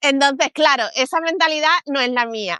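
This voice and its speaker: Against a quiet background with a dry, close sound and no echo, a woman with a Castilian accent projects a raised, high voice, bright and sharp in tone, with lively intonation at a moderate pace. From Spain. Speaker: communications consultant. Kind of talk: interview. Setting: livestream.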